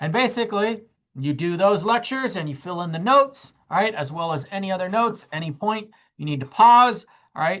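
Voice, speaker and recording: Against a quiet background, a woman with an ordinary speaking voice talks at a fairly quick pace in a medium pitch with lively intonation. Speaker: college math instructor. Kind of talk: lecture.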